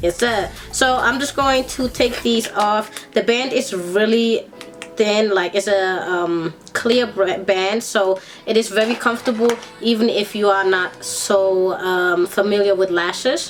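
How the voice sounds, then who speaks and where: Music plays in the background as a woman talks at a fairly slow pace. Her medium pitch has ordinary variation, and her loudness stays very even. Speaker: beauty vlogger. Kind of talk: makeup tutorial. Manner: casual.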